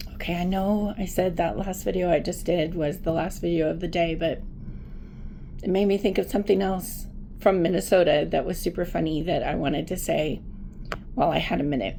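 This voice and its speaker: A woman's fairly low, dark and mellow voice with vocal fry, at a fairly quick pace, with audible room echo. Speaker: vlogger. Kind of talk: casual storytelling vlog. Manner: animated.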